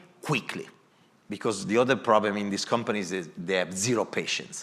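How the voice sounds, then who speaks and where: A man speaks with an Italian accent. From Italy. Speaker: corporate design executive. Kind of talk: moderated panel talk.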